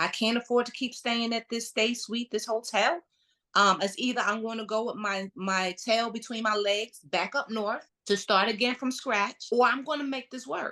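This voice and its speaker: Animated and bright with a sharp tone, a woman talks at a moderate pace. Her pitch is fairly high, with ordinary variation. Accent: strong Brooklyn. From New York, Brooklyn. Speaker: entrepreneur, realtor and interior designer. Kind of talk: podcast interview, personal story. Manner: animated storytelling.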